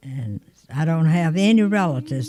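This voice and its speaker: Over noticeable background noise, a woman with a fairly low voice speaks at a moderate pace. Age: 80s+. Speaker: grandmother interviewed by family. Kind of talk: oral history interview.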